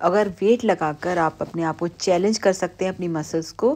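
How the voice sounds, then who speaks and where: A woman's normal speaking voice, fairly low in pitch, fairly slow and fairly even in intonation. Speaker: physiotherapist instructor. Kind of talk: tutorial.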